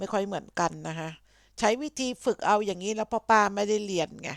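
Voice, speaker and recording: A woman with a plain, everyday voice and fairly high pitch. The sound is dry and close with no echo, in a very clean recording with a silent background. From Thailand, Buriram. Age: 50s. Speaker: YouTuber. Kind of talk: exam practice and casual vlog.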